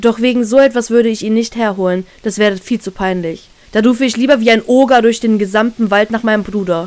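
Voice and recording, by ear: A passage comes across as reading aloud in a natural voice.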